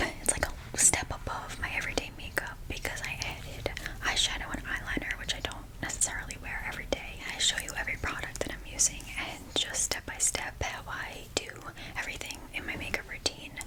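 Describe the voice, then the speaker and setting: Whispering at a fairly quick pace, a woman is heard over noticeable background noise. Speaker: ASMR creator. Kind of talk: ASMR makeup tutorial. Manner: whispered.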